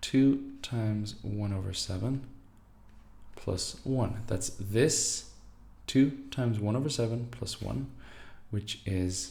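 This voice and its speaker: A dark, mellow, somewhat breathy tone with ordinary pitch variation, a very slow pace, long and frequent pauses, and audible room echo. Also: man, fairly low pitch for a man. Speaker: maths teacher. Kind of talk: tutorial.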